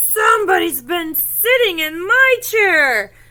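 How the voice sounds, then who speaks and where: A put-on character voice is at work. It moves fairly slowly. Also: woman, extremely high pitch for a woman. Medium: read story.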